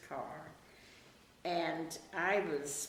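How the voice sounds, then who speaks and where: Noticeable background noise and audible room echo surround the recording. A woman speaks with ordinary pitch variation. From Germany (Bavaria). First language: German. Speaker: interviewee recalling her life. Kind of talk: oral history interview.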